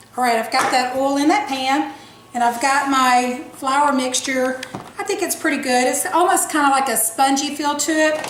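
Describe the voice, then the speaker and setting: A woman with a Southern US accent speaks at a high pitch, with audible room echo and noticeable background noise. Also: ordinary pitch variation. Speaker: cooking show host. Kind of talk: tutorial. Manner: fast.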